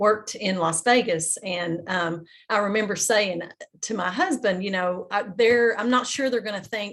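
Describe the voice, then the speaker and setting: A woman talks at a moderate pace in an Appalachian accent. Her pitch is medium. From Appalachian Kentucky, Estill County. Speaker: panelist. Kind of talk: panel discussion.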